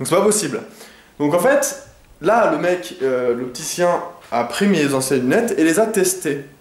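Lively intonation from a man, over noticeable background noise. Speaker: video creator. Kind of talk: casual vlog monologue. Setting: at home, talking to camera. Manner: rambling, hesitant, many fillers.

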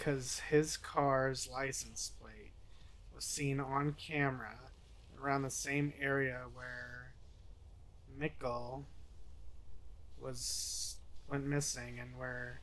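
The man talks at a very slow pace. His loudness swings widely. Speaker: reaction youtuber. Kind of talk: commentary. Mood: engaged, a bit tense. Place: home room.

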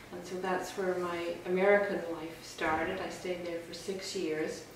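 A woman talks at a moderate pace in a monotone, flat intonation. Light background noise and audible room echo are present. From Northern Ireland. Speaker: college president. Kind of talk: interview answer. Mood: warm, relaxed, smiling. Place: home room.

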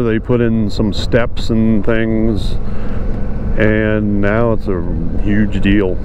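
A man's voice with ordinary pitch variation, dry with no echo, over noticeable background noise. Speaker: motorcycle vlogger. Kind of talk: casual vlog chat. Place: motorbike. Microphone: helmet.

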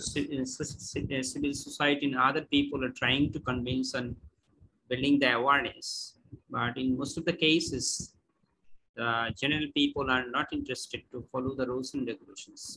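In a Bengali accent, the speaker keeps a flat monotone at a moderate pace with a bright, sharp tone. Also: man, fairly high pitch for a man. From Bangladesh. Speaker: course participant. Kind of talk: Q&A question. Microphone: video call.

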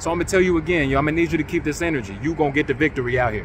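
A man's fairly high voice at a very fast pace, dry with no echo, over noticeable background noise. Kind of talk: sermon-style exhortation to online congregation. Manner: animated, rallying, high-energy call-and-response; emphatic, repetitive, urging. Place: open country. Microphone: phone near.

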